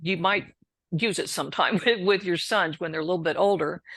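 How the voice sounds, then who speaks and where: An unremarkable speaking voice with an American accent, at a moderate pace. Pitch varies in an ordinary way against a quiet background. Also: woman. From Texas. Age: 60s. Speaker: recovering alcoholic and author. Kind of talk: interview testimony.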